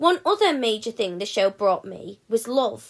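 Her fairly high voice is a plain, everyday voice with lively intonation. This woman keeps a moderate pace. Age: young. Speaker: fan sharing personal story. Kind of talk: testimony.

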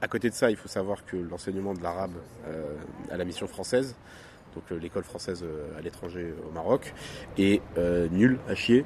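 Speaking at a moderate pace, a man with a very deep, low pitch shows ordinary pitch variation, big swings in loudness, and long, frequent pauses. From Morocco. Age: young. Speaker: podcast co-host. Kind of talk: casual chat. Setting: outdoors, hotel terrace.

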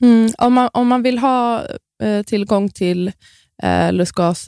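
A woman talks at a moderate pace. The recording is very clean, with a silent background and a dry, close sound without echo. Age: 30s. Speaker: midwife and influencer. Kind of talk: podcast interview.

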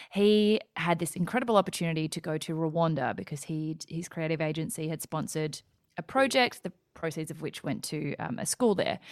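A woman speaks with an Australian accent at a fairly quick pace. Her pitch is fairly low, with ordinary variation. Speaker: entrepreneur and podcaster, former lawyer. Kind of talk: casual interview chat. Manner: bubbly.

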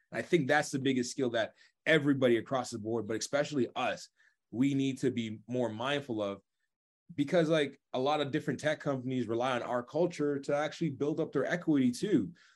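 Against a quiet background, a man talks at a fairly quick pace. His voice sits fairly high, with ordinary pitch variation. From Toronto, Canada, Jamaican heritage. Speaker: recruiter and career coach. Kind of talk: interview. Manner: casual, animated.

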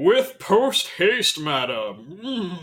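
A man puts on a character voice pitched high. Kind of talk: formal, deferential. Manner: crisp, obedient.

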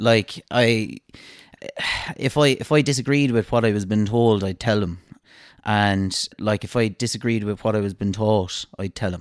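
On a very clean, dry, close recording with a silent background and no echo, a man with an Irish accent speaks at a moderate pace in a fairly low pitch with ordinary variation. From Ireland, Cashel. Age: 30s. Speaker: pharmacist. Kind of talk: casual interview.

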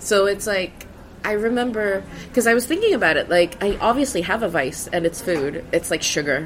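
Over noticeable background noise, a woman speaks at a fairly quick pace in a medium pitch with lively intonation. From Sweden. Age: 30s. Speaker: comedian. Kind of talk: casual chat. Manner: halting.

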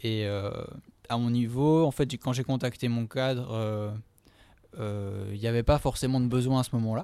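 Through a very clean recording with a silent background comes a man's dark, mellow tone at a medium pitch with fairly even intonation. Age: 20s. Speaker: physiotherapist. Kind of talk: interview. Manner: halting, many fillers.

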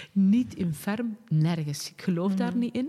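A woman talks in a somewhat breathy voice with a dark, mellow tone. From Flanders, Pajottenland (Sint-Martens-Lennik). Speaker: director of a women's organisation and local councillor. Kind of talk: casual interview.

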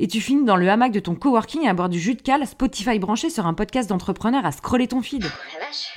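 With an animated tone and lively intonation, a woman at medium pitch speaks at a fairly quick pace in a very clean recording with a silent background. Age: 30s. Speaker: podcast host. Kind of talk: scripted monologue.

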